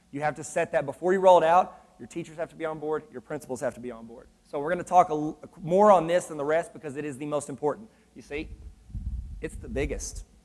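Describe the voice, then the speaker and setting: A man talks at a very fast pace in a fairly high pitch, with ordinary pitch variation. His loudness swings widely, and noticeable background noise is present. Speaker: education consultant and trainer. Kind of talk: conference presentation. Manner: animated.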